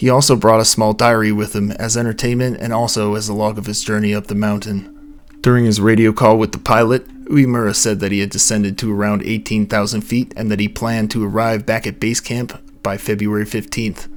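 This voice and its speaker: Over noticeable background noise, a man talks fairly quickly in a fairly low, monotone, flat voice. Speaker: mystery narrator. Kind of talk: scripted narration. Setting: home recording space at night. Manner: soft-spoken.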